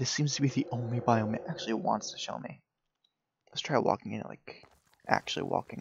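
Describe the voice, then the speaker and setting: A quiet man's voice of medium pitch, with vocal fry, a fairly quick pace broken by long, frequent pauses, ordinary pitch variation and big swings in loudness. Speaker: gaming youtuber. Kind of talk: gameplay commentary. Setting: at home, family sleeping. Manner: quiet, keeping voice down; hesitant, many fillers.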